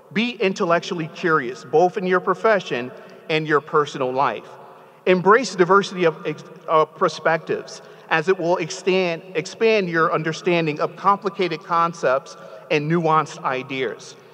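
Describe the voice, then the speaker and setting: An American man speaks at a moderate pace with a high pitch and ordinary pitch variation. His tone is animated, and light background noise can be heard. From New Haven, Connecticut; Connecticut. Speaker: commencement speaker; speaker. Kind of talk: commencement speech. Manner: animated, engaging, audience-interactive. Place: hall. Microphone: podium.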